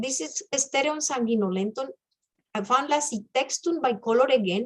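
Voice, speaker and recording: At a moderate pace, a woman talks with lively intonation and a high pitch. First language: not English. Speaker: amateur mycologist, club member. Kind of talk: casual club presentation. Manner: hesitant, searching for words.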